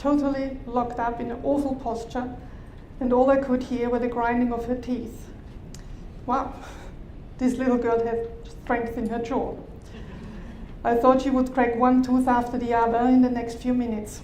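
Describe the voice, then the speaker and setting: A woman's high, monotone, flat voice at a moderate pace with long, frequent pauses, audible room echo and noticeable background noise. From Austria. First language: German. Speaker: bodywork therapist. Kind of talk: conference talk. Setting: conference stage with audience.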